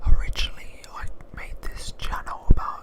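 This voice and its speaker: Whispering in a relaxed tone, over noticeable background noise. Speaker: ASMR YouTuber, gamer. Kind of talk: casual talk to camera, ASMR intro. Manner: whispered, close, relaxed.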